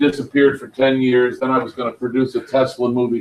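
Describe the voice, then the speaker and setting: A man with an American accent and a plain, everyday voice, medium in pitch, at a fairly quick pace. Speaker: conference organizer. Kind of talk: speaker introduction.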